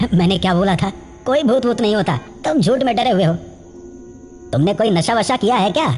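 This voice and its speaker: A man talks in a high-pitched, put-on character voice with lively intonation and a fairly quick pace, broken by long, frequent pauses. Clear music plays in the background. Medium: audio drama.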